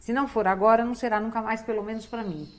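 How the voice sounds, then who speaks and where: Rushing at a very fast pace, a woman speaks at a fairly high pitch with fairly even intonation. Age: 60s. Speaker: public prosecutor and political candidate. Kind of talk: TV interview.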